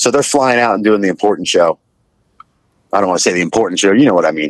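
Talking at a very fast pace, a man with a fairly low pitch and ordinary pitch variation is heard in a dry sound with no echo against a quiet background. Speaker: pop punk musician and restaurant owner. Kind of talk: casual chat. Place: car.

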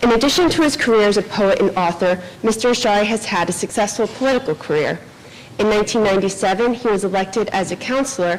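A woman at a fairly quick pace with ordinary pitch variation. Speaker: event host introducing speakers. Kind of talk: formal introduction reading a bio. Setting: live event with audience. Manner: formal. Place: hall. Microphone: podium.

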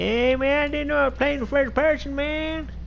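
A man speaks at a moderate pace in a put-on character voice with an extremely high pitch, over clear background noise. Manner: casual, bro-like.

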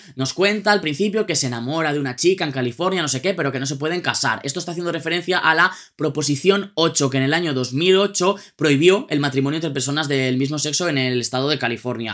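A man speaks at a very fast pace with hardly any pauses and ordinary pitch variation against a quiet background. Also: fairly high pitch for a man. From Spain. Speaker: music youtuber. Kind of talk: album review monologue. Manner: animated. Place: home room.

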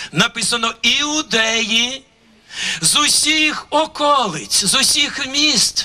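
A man projects a raised voice at an extremely high pitch. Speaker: pastor. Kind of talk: sermon. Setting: church. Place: open country. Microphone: handheld.

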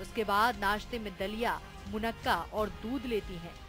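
Music plays behind a woman as she talks. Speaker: news reporter. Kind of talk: TV news report narration.

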